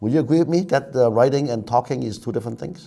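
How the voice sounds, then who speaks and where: A man speaks in a Chinese accent with a dark, mellow tone. His intonation is lively. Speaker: TV talk show host. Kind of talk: TV talk show interview.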